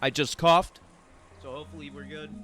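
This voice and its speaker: With music in the background, a man speaks at a fairly quick pace and ordinary pitch variation. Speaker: streamer reading a visual novel. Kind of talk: live stream reading aloud with casual commentary. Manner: voice sounds close to crying.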